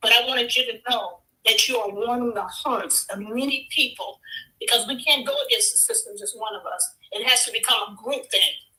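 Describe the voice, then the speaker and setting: A woman talks at a fairly quick pace in a high pitch with a bright, sharp tone. Her loudness swings widely. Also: ordinary pitch variation. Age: 60s. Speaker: caller. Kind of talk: call-in comment.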